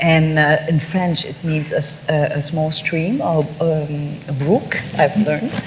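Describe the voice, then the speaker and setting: With noticeable background noise behind her, a woman speaks in a very deep, low voice. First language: Vietnamese. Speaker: novelist. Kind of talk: panel discussion. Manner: halting.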